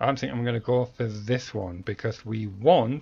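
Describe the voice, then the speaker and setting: A man speaks at a moderate pace with a British accent, his pitch medium with ordinary variation. His voice is somewhat breathy. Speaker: let's play gamer. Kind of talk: gameplay commentary.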